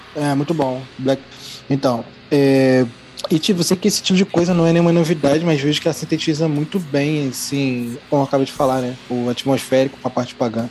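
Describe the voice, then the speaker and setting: In an ordinary speaking voice, a man talks at a fairly quick pace and a fairly high pitch, with ordinary pitch variation. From Brazil, Rio de Janeiro. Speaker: podcast guest, listener. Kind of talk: casual chat.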